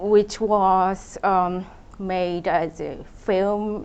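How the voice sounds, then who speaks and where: A woman with a Japanese accent, medium pitch and flat, monotone intonation. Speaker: contemporary artist. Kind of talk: public talk. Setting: event with audience. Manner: halting, many fillers.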